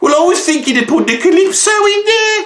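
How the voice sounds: A put-on character voice comes out extremely high in pitch. It sounds squeaky.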